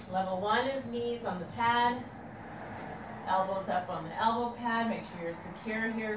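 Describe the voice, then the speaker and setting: A woman speaks at a fairly slow pace with ordinary pitch variation. Noticeable background noise and audible room echo surround her. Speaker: fitness instructor. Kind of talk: tutorial. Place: garage. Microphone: camera far.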